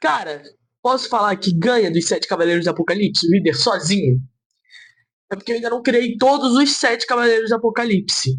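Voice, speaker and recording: In an animated tone, a man talks at a fairly quick pace with a high pitch and lively intonation. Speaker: comic book writer and youtuber. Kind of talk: casual talk to camera.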